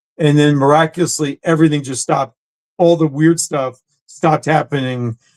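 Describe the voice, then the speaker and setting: At a fairly quick pace, a man speaks with a fairly high pitch and fairly even intonation. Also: dry, close sound with no echo. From New Jersey. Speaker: actor and comedian. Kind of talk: casual chat.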